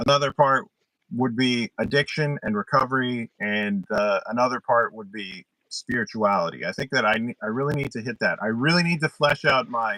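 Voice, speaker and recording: A man speaks in an American accent at a moderate pace. His tone is bright and sharp, and the sound is dry and close with no echo. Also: medium pitch for a man, ordinary pitch variation. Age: 40s. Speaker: mental health YouTuber. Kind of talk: casual interview. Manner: halting, repeats words.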